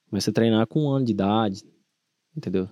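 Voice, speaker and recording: This is a man with a fairly low pitch. His pitch varies in an ordinary way. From São Paulo state interior, Brazil. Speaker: rodeo bull rider and herd manager. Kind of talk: interview.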